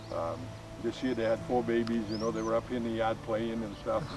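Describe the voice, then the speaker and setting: Over background music, a man speaks fairly quickly. His pitch sits in the medium range. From Maine, US. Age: 60s. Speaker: alpaca farmer. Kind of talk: interview. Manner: hesitant, many fillers.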